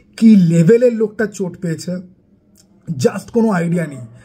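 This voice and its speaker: A man speaks in a dark, mellow tone. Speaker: YouTuber film reviewer. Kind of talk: casual film review vlog. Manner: animated.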